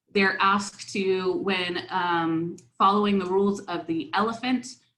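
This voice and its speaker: Audible room echo around a woman's voice of medium pitch. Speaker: academic researcher presenter. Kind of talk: conference talk. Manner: hesitant fillers.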